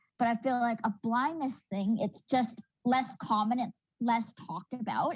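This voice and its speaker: With an unremarkable speaking voice, a woman talks at a moderate pace and a fairly high pitch, with ordinary pitch variation and a dry, close sound with no echo. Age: 20s. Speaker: university student, panelist. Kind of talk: panel discussion.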